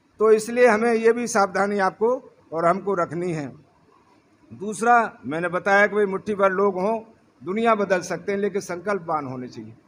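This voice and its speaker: A man talks with a high voice. His pitch varies in an ordinary way. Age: 70s. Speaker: politician. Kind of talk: political speech.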